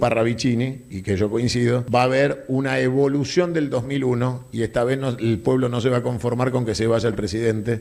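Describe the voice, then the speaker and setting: This man has a normal speaking voice, pitched in the medium range, moving fairly quickly with ordinary pitch variation. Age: 50s. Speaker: political speaker. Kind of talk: public Q&A talk.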